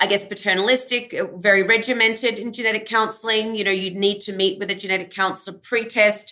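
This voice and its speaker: This woman has an Australian accent, a medium pitch and a bright, sharp tone. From Australia (Melbourne). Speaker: genetic counselor. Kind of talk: interview. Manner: halting, many fillers.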